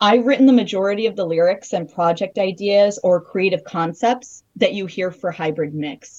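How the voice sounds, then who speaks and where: A woman with a Canadian accent has an unremarkable speaking voice at a medium pitch. She talks at a moderate pace with ordinary pitch variation and hardly any pauses. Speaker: YouTube creator and Eurobeat songwriter. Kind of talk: interview.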